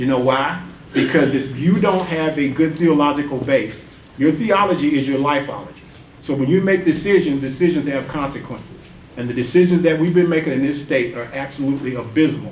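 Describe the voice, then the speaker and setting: Over noticeable background noise and audible room echo, a man with an American accent talks at a fairly quick pace, his fairly high pitch showing ordinary variation. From US South (Atlanta, Georgia). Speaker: engineer and tax reform activist. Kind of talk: panel discussion remarks. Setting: conference panel with audience.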